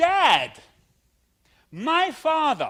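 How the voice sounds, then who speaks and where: Raising and projecting his voice, a man with a German accent speaks in a bright, sharp tone. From Germany. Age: 50s. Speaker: pastor. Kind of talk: sermon.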